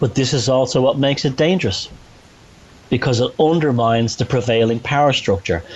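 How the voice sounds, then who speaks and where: Speaking at a fairly quick pace, a man with a Dublin accent keeps his loudness very even. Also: medium pitch for a man, ordinary pitch variation. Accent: Dublin Irish. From Ireland, north Dublin. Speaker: author and researcher. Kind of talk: podcast interview. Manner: animated, halting with restarts.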